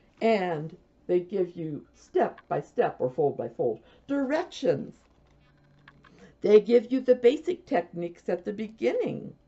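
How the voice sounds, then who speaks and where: In an American accent, the speech moves at a fairly slow pace with very wide pitch swings and long, frequent pauses. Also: woman, medium pitch for a woman. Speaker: knitting podcaster. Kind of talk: casual video podcast chat. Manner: soft-spoken.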